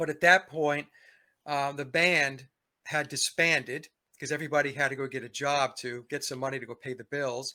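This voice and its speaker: A man speaks at a moderate pace with a fairly high pitch and a bright, sharp tone. The recording is very clean, with a silent background. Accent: New York. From New York. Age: 60s. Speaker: musician and commentator. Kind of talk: interview.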